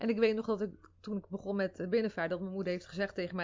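This woman speaks very fast at a medium pitch. Her pitch varies in an ordinary way. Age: 30s. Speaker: mother and social media personality. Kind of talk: casual interview. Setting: in person in Rotterdam.

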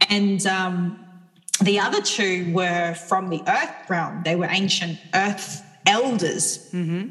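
Noticeable background noise and audible room echo surround a very slow, monotone, flat delivery. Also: woman, medium pitch for a woman. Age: 30s. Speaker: sound healer. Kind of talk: casual chat.

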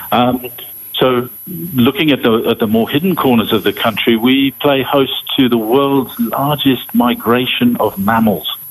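A man speaks at a fairly slow pace with very even loudness and ordinary pitch variation over noticeable background noise. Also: medium pitch for a man. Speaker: safari expert. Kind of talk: interview. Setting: remote call.

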